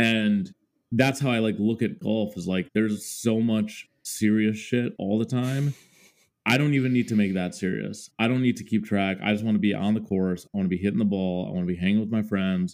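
A man speaks with an American accent in an ordinary speaking voice, his pitch fairly low with ordinary variation. The recording is very clean, with a silent background. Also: fairly quick pace. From Minnesota, US Upper Midwest (Mendota Heights suburb). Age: 30s. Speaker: music creator. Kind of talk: casual interview chat.

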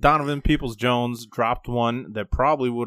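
A man talks at a fairly quick pace. He has an ordinary speaking voice with a medium pitch. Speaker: podcast co-host. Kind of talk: casual sports talk podcast.

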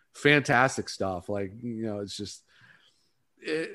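In a plain, everyday voice, a man with an American accent talks at a fairly quick pace with ordinary pitch variation, on a very clean recording with a silent background. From Northeast Ohio (Ravenna, near Akron). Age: 30s. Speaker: hockey podcaster. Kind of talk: casual chat.

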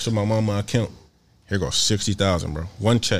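A man at a fairly low pitch with ordinary pitch variation and a fairly quick pace. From Philadelphia. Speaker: singer-songwriter and producer. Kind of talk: casual interview. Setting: studio. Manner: laid-back, slang-heavy.

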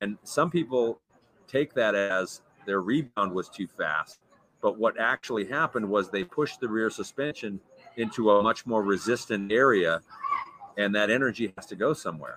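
An unremarkable speaking voice at a moderate pace, with ordinary pitch variation and a dry, close sound with no echo. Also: man, fairly low pitch for a man. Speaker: mountain bike coach and former pro rider. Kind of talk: casual interview chat. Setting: live stream with chat.

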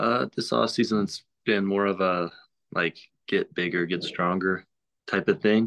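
Against a quiet background, a man with an American accent speaks at a fairly slow pace and fairly low pitch, with ordinary pitch variation and long, frequent pauses. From US South, Oxford, Mississippi. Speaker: baseball prospect. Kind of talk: interview.

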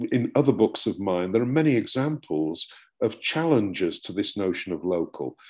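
Lively intonation marks this man's speech in a British accent. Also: quiet background. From UK. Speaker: professor and book author. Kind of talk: academic interview.

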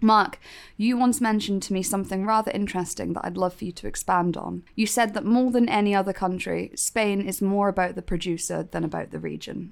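A woman at medium pitch and a fairly quick pace, with ordinary pitch variation and hardly any pauses, in a very clean recording with a silent background. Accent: British. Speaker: podcast host. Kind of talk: scripted-style intro and interview. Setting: studio.

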